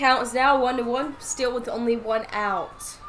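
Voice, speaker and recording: A woman's high voice with a Louisiana accent, audible room echo, and music in the background. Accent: Louisiana accent, drawn-out O's. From Louisiana, Winnfield. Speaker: softball play-by-play commentator. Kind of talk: live commentary. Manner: casual, chatty.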